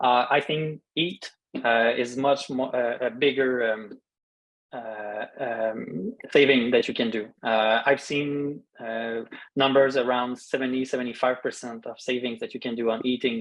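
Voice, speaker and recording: This man speaks with a Quebec accent at a medium pitch. His pace is fairly slow and his intonation fairly even. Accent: French-Canadian accent in English. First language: French. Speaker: dark-sky expert, park scientist. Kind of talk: Q&A after a talk. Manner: halting, many fillers.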